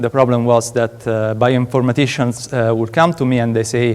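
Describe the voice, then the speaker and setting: A man's medium-pitched voice with an Italian accent. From Italy, Rome. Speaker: PhD student researcher. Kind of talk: conference talk. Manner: halting, many fillers.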